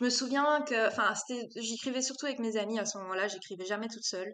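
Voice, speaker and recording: A woman's normal speaking voice, fairly high in pitch, with ordinary pitch variation. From Belgium, Brussels. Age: 20s. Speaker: novelist. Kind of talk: casual interview chat.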